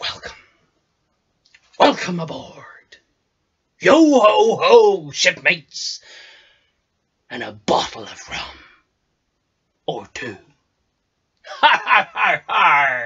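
A man speaks in a put-on character voice, pitched high. He talks very slowly, with long, frequent pauses. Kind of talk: improvised audition self-tape monologue. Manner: boisterous, theatrical.

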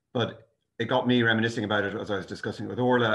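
A man talks at a very fast pace with monotone, flat intonation. The background is quiet. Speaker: lecturer. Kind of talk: lecture. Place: home room. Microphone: video call.

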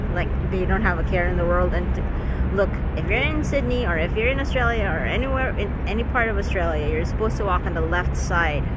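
A woman talks at a very fast pace against loud background noise. The sound is dry, with no echo. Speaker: vlogger. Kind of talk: casual vlog chat. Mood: mildly annoyed rant. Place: waterside. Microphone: phone near.

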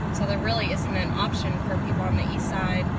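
Speech comes at a fairly quick pace over loud background noise. The sound is dry, with no echo. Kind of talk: narrated commute commentary. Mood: mildly frustrated, explanatory. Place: car. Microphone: phone near.

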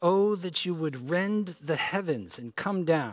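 Nothing stirs in the background. A man talks very slowly. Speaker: preacher. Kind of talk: scripture reading. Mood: solemn, measured. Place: church.

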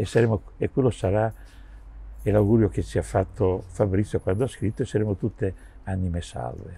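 A man speaks at a moderate pace in a fairly low voice with vocal fry, a dark, mellow tone and ordinary pitch variation. The sound is dry with no echo. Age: 70s. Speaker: session drummer; interviewee. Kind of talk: interview. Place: garden.

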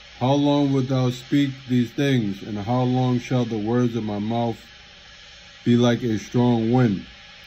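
Over light background noise, a man talks at a very slow pace with fairly even intonation. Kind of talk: scripture reading aloud. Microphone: phone near.

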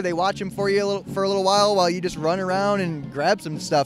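A man's high voice at a very fast pace, dry with no echo, over clear music in the background. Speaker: show host. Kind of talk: casual host commentary. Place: market. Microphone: handheld.

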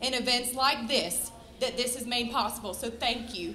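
A woman speaks at a high pitch and a fairly quick pace. Room echo is audible around her voice. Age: 30s. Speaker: nursing teacher and cancer survivor. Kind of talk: speech to audience.

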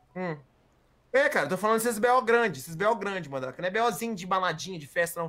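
A man speaks at a very fast pace in a high pitch, his tone bright and sharp. His intonation is lively, and his loudness swings widely. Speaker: GTA roleplay streamer playing a character. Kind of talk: heated argument, angry and defensive, in a roleplay game. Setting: online game voice chat. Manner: loud, exasperated, indignant; rapid, stumbling, repeating words.

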